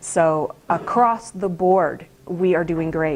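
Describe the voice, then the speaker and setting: A woman's medium-pitched voice with fairly even intonation, in a very clean recording with a silent background. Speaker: company safety manager. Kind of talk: staff safety meeting presentation.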